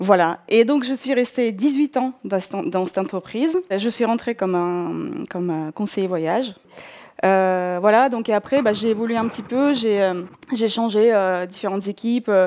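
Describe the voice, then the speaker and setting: A fairly high-pitched woman's voice, fairly slow, with ordinary pitch variation. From southern Russia, North Caucasus. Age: 40s. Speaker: podcast guest telling career-change story. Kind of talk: personal storytelling, monologue. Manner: hesitant, many fillers.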